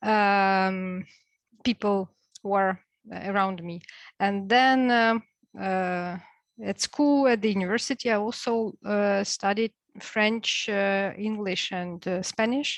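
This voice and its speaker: Very slow speech from a woman at medium pitch with fairly even intonation, dry and close with no echo over a quiet background. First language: Russian and Ukrainian. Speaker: university lecturer. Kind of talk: online class discussion. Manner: halting.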